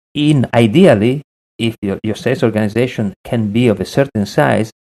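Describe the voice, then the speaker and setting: A man's dark, mellow, medium-pitched voice with an Italian accent, ordinary pitch variation and moderate pace, dry and close with no echo. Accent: Italian, lasting. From Italy. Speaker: sales consultant. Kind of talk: podcast interview.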